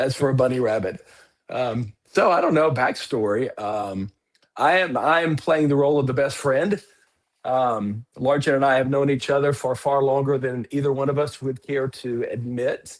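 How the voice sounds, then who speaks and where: Here is a man with an unremarkable speaking voice. He talks at a moderate pace and medium pitch, with ordinary pitch variation. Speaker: comic artist. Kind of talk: casual chat.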